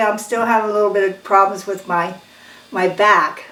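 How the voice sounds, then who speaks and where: Against noticeable background noise and audible room echo, a woman talks at a medium pitch with fairly even intonation. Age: 70s. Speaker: cooking channel host. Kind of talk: casual cooking tutorial. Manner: casual, conversational.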